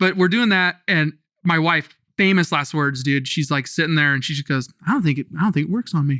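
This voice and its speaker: Speaking at a fairly quick pace with an American accent, a man's fairly high voice has a bright, sharp tone and ordinary pitch variation. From California. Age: 30s. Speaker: tattoo artist. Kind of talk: casual chat. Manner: animated.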